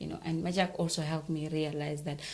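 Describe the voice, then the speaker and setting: A woman talks in a somewhat breathy voice with a very deep, low pitch. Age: young. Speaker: journalist and show host. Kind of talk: interview.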